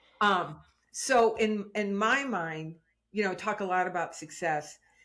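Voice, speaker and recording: At a fairly slow pace, a woman with a plain, everyday voice speaks at a medium pitch with ordinary pitch variation. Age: 60s. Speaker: success and prosperity teacher. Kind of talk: casual interview chat.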